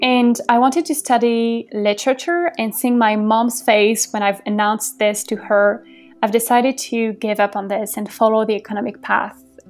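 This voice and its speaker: A woman's voice shows ordinary pitch variation, with noticeable background noise around it. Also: fairly high pitch for a woman, moderate pace. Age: 20s. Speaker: podcast host. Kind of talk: casual monologue.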